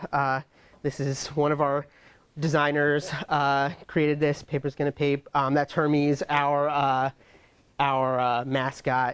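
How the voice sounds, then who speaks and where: A man with a New York accent speaks at a moderate pace with a fairly high pitch. The recording is very clean with a silent background, and the sound is dry and close with no echo. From New York (Brooklyn). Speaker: tech executive and conference speaker. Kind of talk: tech talk.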